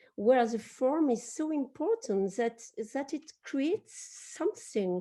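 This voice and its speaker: In a French accent, a woman speaks at a high pitch with a dark, mellow tone and very wide pitch swings. Her pace is very slow, and the background is quiet. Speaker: publisher. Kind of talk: panel discussion. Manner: halting.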